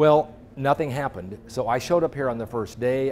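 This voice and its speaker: Moderately paced man with an American accent and ordinary pitch variation, music playing in the background. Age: 60s. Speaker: journalist. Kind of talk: interview. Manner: animated.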